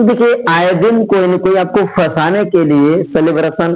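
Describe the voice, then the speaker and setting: The man's voice is high, with ordinary pitch variation, and the room adds audible echo. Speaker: teacher. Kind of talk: lecture.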